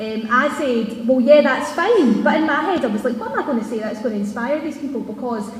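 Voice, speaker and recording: A woman with a high-pitched voice speaks loudly at a fairly quick pace with ordinary pitch variation. There is noticeable background noise and audible room echo. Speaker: TV presenter. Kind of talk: speech. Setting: stage with audience. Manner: fast.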